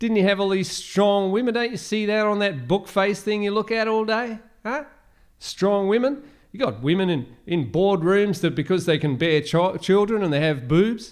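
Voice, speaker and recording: A man's high-pitched voice with an Australian accent, lively intonation and a moderate pace, over a quiet background. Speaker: podcaster. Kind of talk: rant-style monologue, conspiracy podcast. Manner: rambling, casual, defiant, sarcastic.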